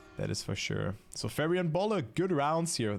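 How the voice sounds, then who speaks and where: A man with a German accent, music in the background. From Germany, near Dutch border. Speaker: esports caster. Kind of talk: live commentary.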